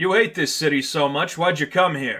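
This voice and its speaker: Doing a put-on character voice, a man speaks raspily at a moderate pace with a fairly high pitch. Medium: read story. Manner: gruff.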